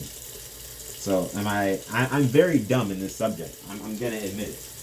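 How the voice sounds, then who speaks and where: A man with a fairly low pitch and lively intonation is heard with audible room echo and noticeable background noise. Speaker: vlogger. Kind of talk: casual monologue. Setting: at home doing dishes.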